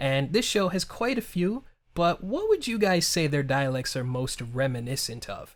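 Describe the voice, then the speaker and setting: Upbeat tone from a man at a high pitch, fairly slow pace. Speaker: interviewer and YouTuber. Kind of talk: interview. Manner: upbeat, comedic.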